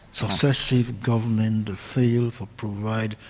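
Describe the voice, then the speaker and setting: Noticeable background noise accompanies a man speaking at a very slow pace and a medium pitch. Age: 70s. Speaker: founder of an organisation. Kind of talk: radio interview.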